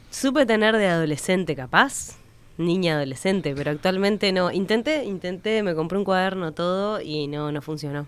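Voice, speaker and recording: Here a woman speaks in a Rioplatense accent at a moderate pace. Her medium-pitched voice has lively intonation. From Uruguay, Montevideo. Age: 30s. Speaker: actress. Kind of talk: casual chat.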